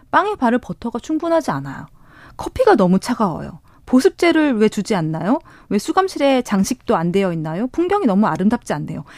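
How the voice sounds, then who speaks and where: A woman's fairly high voice, fairly quick, with very wide pitch swings and a dry, close sound with no echo. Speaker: newspaper reporter. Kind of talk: news briefing. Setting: studio.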